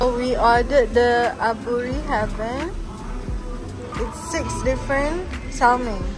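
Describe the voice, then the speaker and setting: Clear background music behind a female speaker. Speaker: vlogger. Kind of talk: casual vlog chat. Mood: upbeat. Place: cafe. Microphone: phone near.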